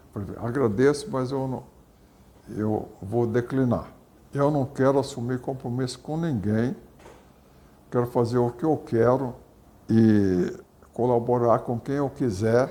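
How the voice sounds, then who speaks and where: Speaking fairly slowly, a man uses a medium pitch with ordinary pitch variation and a dark, mellow tone. He leaves long, frequent pauses. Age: 80s+. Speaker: soybean breeder, agronomist. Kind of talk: interview. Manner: halting.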